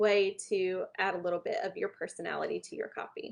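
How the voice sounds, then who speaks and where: The speaker has a Southern US accent and a moderate pace. The intonation is monotone and flat. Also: woman. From US South. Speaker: small business branding speaker. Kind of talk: online workshop talk. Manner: casual, conversational.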